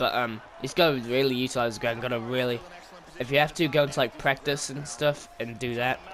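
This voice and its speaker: A man speaks at a fairly quick pace, his pitch medium and his intonation fairly even. Noticeable background noise sits behind him. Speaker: gaming YouTuber. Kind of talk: gameplay tutorial commentary. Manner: fast; hesitant, many fillers.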